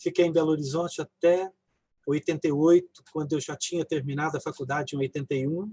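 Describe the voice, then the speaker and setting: A plain, everyday voice moves at a fairly quick pace with fairly even intonation. The sound is dry and close, with no echo. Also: man, fairly high pitch for a man. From interior of São Paulo state, Brazil (near southern Minas Gerais). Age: 60s. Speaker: physician and family caregiver. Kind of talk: personal testimony in a live online talk.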